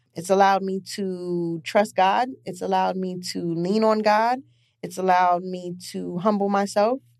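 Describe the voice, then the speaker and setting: A woman with an American accent, medium in pitch, fairly even in intonation, at a moderate pace. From Brooklyn, New York (East Flatbush). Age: 40s. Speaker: podcast host, wardrobe stylist. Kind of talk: personal monologue, faith testimony. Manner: casual, halting with many fillers.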